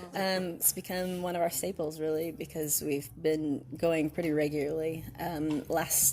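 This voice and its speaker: A woman with an American accent speaks at a moderate pace with hardly any pauses, in a very deep, low voice with vocal fry and a dark, mellow tone. Her pitch varies in an ordinary way. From US South. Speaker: band singer. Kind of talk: interview. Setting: music festival. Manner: hesitant, many ums.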